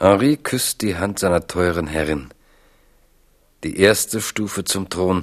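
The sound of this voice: Slowly, a man speaks at a low pitch. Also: ordinary pitch variation.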